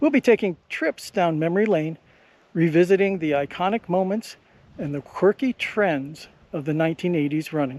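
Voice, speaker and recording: High-pitched male voice with ordinary pitch variation in a dry, close sound with no echo. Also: moderate pace, very clean recording, silent background. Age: 50s. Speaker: runner. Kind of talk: casual talk to camera. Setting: outdoors.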